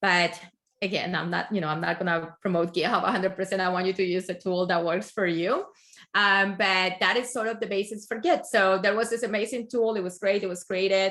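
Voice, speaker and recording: This woman speaks at a fairly quick clip. Her intonation stays fairly even. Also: medium pitch for a woman. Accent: strong non-native. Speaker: tech project manager, guest speaker. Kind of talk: technical talk.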